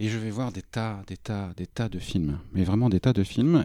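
A man's dark, mellow voice at a fairly slow pace with ordinary pitch variation, on a very clean recording with a silent background. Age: 40s. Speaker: publishing worker. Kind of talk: casual chat.

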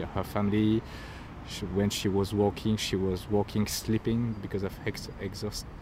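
A man with a French accent speaks in a monotone, flat intonation. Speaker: podcast host. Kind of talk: interview.

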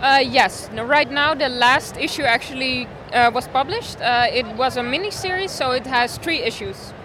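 A woman's high, raised and projected voice comes at a very slow pace amid noticeable background noise. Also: ordinary pitch variation. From Netherlands. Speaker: comic artist. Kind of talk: interview answers in English. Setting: convention.

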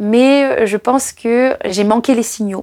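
A woman speaks in a normal speaking voice, her pitch fairly high and her intonation fairly even. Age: 30s. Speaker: trail runner. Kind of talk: personal storytelling.

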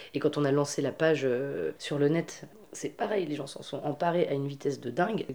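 Over noticeable background noise, a woman talks at a fairly quick pace in a very deep, low pitch, with ordinary pitch variation. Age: 30s. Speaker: feminist activist and festival organizer. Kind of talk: interview. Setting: at her home. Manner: halting, with many repetitions.

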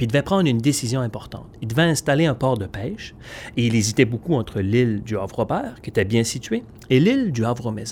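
A somewhat breathy man's voice, medium in pitch, at a very fast pace with ordinary pitch variation. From Magdalen Islands, Quebec. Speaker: storyteller. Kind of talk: interview. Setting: event venue. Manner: halting, with repetitions.

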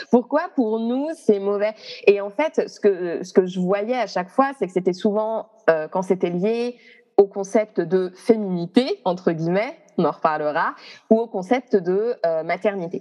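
With music in the background, a woman speaks at a fairly slow pace and medium pitch, her pitch varying in an ordinary way amid big swings in loudness. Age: 30s. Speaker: astrologer. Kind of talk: interview conversation. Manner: hesitant, many fillers.

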